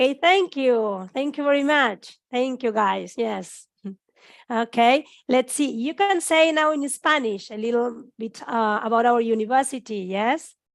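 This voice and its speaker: A woman speaks fairly slowly in a high pitch with lively intonation. The recording is very clean, with a silent background. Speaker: university teacher. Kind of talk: casual chat.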